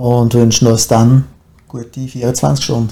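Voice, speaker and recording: Noticeable background noise can be heard as a man talks. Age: 40s. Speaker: recovering alcoholic. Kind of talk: testimony. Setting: studio.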